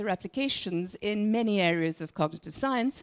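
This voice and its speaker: A woman with a normal speaking voice talks at a moderate pace and fairly high pitch. The recording is dry and close, with no echo. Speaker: physicist. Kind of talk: lecture.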